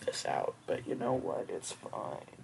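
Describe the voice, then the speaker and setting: This woman speaks with an American accent at a fairly slow pace. Noticeable background noise runs under her voice. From US Midwest. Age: 20s. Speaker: beauty vlogger. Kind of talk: casual tutorial vlog.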